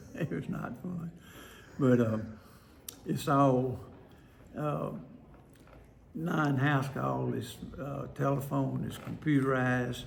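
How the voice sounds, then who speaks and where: With a Mississippi accent, a man talks very slowly, leaving long, frequent pauses. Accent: Southern US (Mississippi). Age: 80s+. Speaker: retired nephrologist. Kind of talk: interview answer.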